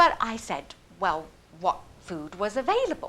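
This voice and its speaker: Noticeable background noise sits behind a woman with a British accent. Her medium pitch swings very widely. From England. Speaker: storyteller. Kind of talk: personal story performance. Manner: humorous.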